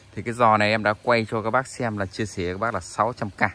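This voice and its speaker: Over noticeable background noise, a man speaks at a moderate pace in a dry recording with no echo. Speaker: orchid seller. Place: garden. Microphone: phone near.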